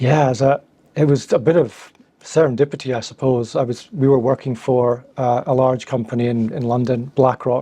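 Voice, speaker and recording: A man with a Scottish accent speaks at medium pitch in a dark, mellow tone with fairly even intonation. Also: moderate pace. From Scotland. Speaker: founder of content marketing agency. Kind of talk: interview.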